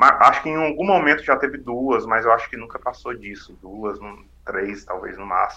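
With hardly any pauses, the voice has a bright, sharp tone, lively intonation and big swings in loudness. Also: man, medium pitch for a man, moderate pace. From Ceará, Brazil (Maciço de Baturité). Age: young. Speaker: city councillor. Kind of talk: casual interview.

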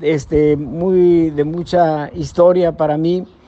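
A man's high-pitched voice in a monotone, flat intonation. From Mexico, Nuevo León. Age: 70s. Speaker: bullfighter. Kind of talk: interview.

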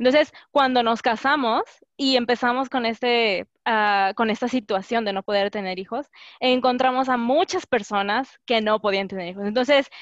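Speaking at a moderate pace, a woman uses an unremarkable speaking voice with fairly high pitch and ordinary pitch variation. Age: 20s. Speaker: graduate student. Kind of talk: casual chat.

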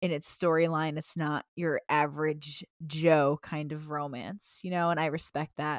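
In a very deep, low voice, a woman speaks at a fairly slow pace with monotone, flat intonation and hardly any pauses, on a very clean, dry, close recording with a silent background and no echo. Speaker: podcast co-host. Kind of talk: casual chat.

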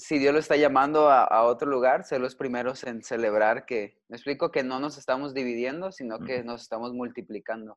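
A man speaks in an ordinary speaking voice at a medium pitch. His intonation is fairly even, and the background is quiet. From Mexico. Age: 20s. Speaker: youth pastor. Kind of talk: casual chat.

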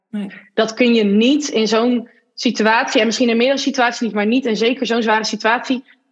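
A woman with a fairly high pitch and a normal speaking voice. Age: 30s. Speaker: marketing consultant and entrepreneur. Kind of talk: personal testimony in interview.

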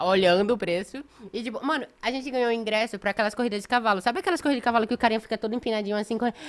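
Her pitch fairly high with ordinary variation, a woman talks at a very fast pace. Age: 20s. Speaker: reality show contestant and model. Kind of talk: casual chat.

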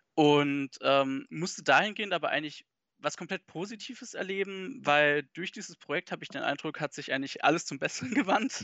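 This man talks fairly quickly in a high pitch, with lively intonation. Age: 20s. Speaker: manga news site project lead. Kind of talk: casual interview.

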